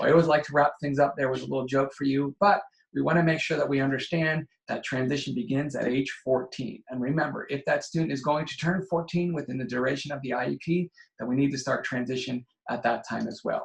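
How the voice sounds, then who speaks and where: A man speaks very fast in a somewhat breathy, fairly high voice with ordinary pitch variation. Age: 40s. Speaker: educational consultant. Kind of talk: online training presentation.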